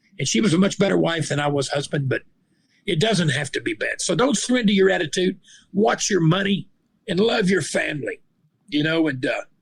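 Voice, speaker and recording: With a Southern US accent, a man talks fairly quickly in a high voice with lively intonation. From Arkansas. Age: 60s. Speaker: retired police officer and minister. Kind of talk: interview. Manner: animated.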